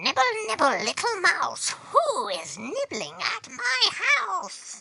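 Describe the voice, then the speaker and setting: This is a put-on character voice, squeaky and high-pitched. It moves at a fairly slow pace. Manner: sing-song, luring.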